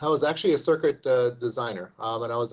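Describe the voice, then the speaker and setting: In an American accent, a man speaks fairly quickly with a fairly even intonation. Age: 60s. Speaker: investment firm CEO, former engineer. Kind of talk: interview. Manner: halting, many repetitions.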